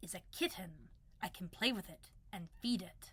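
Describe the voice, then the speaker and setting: A woman performs a put-on character voice. It sits at a medium pitch and moves at a moderate pace. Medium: read story. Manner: creepy, strange.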